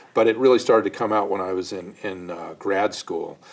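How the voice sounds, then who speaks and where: Over noticeable background noise, a man speaks at a moderate pace with a General American accent. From US Midwest (Ohio, Michigan). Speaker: poet and author, former actor. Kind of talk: interview.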